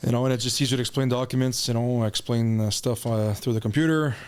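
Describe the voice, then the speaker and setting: A man talks very fast at a medium pitch, with a slight French Canadian accent. His intonation is flat and monotone, and his loudness stays very even. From Canada, Chelmsford in Greater Sudbury, Ontario. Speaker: realtor, former miner. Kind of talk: casual interview chat.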